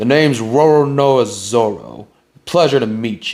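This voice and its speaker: At a moderate pace, a man does a put-on character voice at a medium pitch. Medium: read story. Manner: gruff, blunt.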